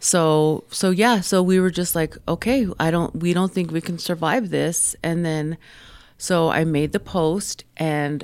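Speaking at a fairly slow pace with an American accent, a woman has a very deep, low pitch and ordinary pitch variation. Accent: New York accent gone. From New York City, Queens (born Tucson). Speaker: small business owner. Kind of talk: radio interview. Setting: radio studio.

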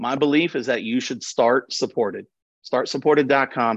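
A man with an American accent and a plain, everyday voice speaks at a fairly quick pace and fairly high pitch, dry and close with no echo over a quiet background. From Nashville, Tennessee (US South). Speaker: economic development professional. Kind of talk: podcast interview.

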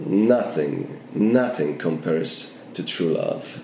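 A man speaks at a very slow pace amid audible room echo and noticeable background noise. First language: Polish. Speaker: actor and acting teacher. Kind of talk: interview.

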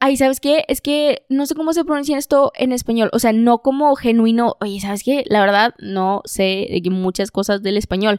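The woman's voice is high in pitch. She speaks at a moderate pace with hardly any pauses. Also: lively intonation, very clean recording, silent background. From northern Mexico. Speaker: podcast co-host. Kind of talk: casual chat.

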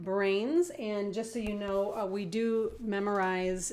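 This is a plain, everyday voice with ordinary pitch variation, moving at a moderate pace. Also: woman. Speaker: pastor. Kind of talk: casual chat.

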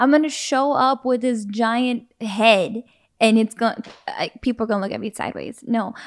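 At a moderate pace, a woman with a normal speaking voice, a fairly high pitch, and fairly even intonation comes through on a very clean recording with a silent background. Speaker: podcast co-host. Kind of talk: casual chat. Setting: at home on a couch. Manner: laughs often.

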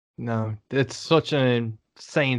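The speaker has a Liverpool accent and a monotone, flat intonation. The background is quiet. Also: man. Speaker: podcast host, musician. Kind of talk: interview.

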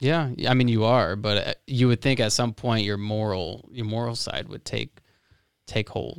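A man with an American accent and a medium pitch talks at a moderate pace with ordinary pitch variation, in a normal speaking voice. The recording is very clean, with a silent background. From Florida. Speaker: podcast host. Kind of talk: casual interview.

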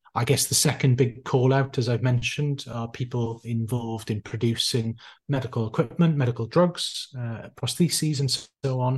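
Somewhat breathy, a man with a Welsh accent speaks at medium pitch and a moderate pace, with fairly even intonation, hardly any pauses and a quiet background. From South Wales. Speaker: intensive care doctor and author. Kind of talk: interview.

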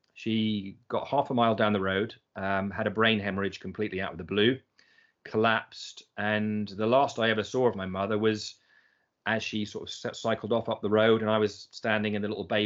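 Speaking at a fairly quick pace, a man with an English accent keeps a fairly low pitch and a monotone, flat intonation. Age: 50s. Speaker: personal development coach, business founder. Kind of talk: casual chat.

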